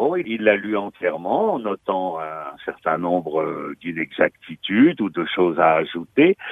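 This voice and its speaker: Speaking at a very slow pace, a man hardly pauses at all. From Normandy, Pays de Caux (Valmont, near Fécamp). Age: 70s. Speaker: author. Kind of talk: interview. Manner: halting.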